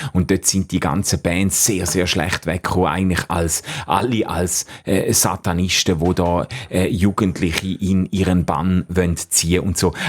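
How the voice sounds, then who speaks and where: A man's very deep, low voice, monotone and flat, at a fairly slow pace with very even loudness, over noticeable background noise. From Switzerland, Schaffhausen. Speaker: theologian, former pastor. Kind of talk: radio interview. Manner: many fillers and hesitations.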